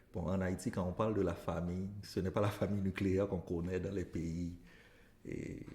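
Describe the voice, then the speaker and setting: Somewhat breathy and dark, mellow in tone, a man speaks at a very deep, low pitch and fairly slow pace with monotone, flat intonation. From Haiti, northeast village near Cap-Haïtien. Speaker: elementary school teacher. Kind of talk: interview.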